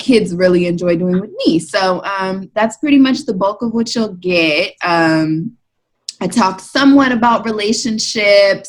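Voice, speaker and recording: A woman with a normal speaking voice and an American accent talks at a fairly slow pace, at a medium pitch with ordinary pitch variation. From Maryland, US. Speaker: blogger and mom. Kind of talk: casual chat.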